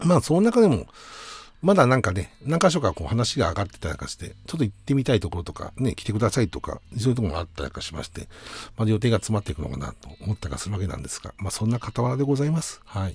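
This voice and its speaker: A man's medium-pitched voice with vocal fry, very wide pitch swings and a very fast pace. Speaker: radio host and band musician. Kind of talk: solo radio talk. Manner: polite, many fillers.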